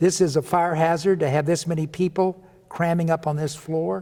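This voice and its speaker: With a Midwestern American accent, a man speaks at a fairly high pitch. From Kansas City, Kansas. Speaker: retired state legislator. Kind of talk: interview answer. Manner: enthusiastic.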